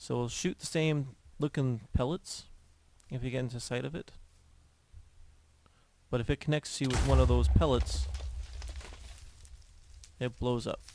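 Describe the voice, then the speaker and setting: A man keeps a moderate pace but breaks his speech with long, frequent pauses. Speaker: Minecraft gameplay video creator. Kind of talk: casual gameplay commentary.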